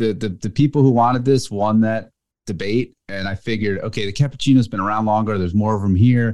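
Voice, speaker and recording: Very fast speech in an American accent. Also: man, fairly low pitch for a man, fairly even intonation, quiet background. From US, New Jersey. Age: middle-aged. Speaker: car magazine editor. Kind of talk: casual chat.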